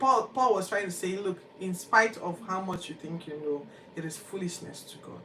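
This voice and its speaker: With a Nigerian accent, a woman talks at a fairly quick pace in an animated tone and medium pitch, over noticeable background noise. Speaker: Bible podcast host. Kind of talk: Bible reading commentary.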